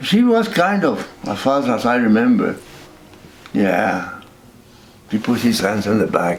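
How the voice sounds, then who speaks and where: A man at a fairly slow pace, with long, frequent pauses, noticeable background noise and audible room echo. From northern New Mexico (Peñasco). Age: 80s+. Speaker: war veteran. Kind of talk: interview. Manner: halting.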